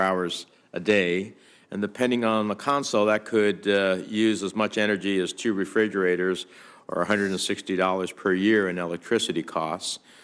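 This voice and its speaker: In a very clean recording with a silent background, a man with an ordinary speaking voice talks at a moderate pace, his fairly low pitch held in fairly even intonation. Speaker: US senator. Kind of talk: Senate committee hearing remarks.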